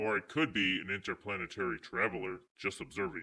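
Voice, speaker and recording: A man's put-on character voice, raspy and fairly low, at a very fast pace. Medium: role play. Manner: dry, aloof.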